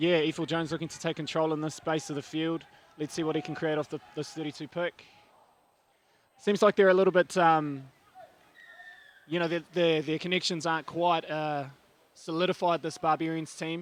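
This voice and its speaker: Speaking with a New Zealand accent, a man uses a fairly high pitch and monotone, flat intonation. His pace is fairly quick, broken by long, frequent pauses. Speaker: touch referee, guest commentator. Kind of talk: live sports commentary. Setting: commentary box.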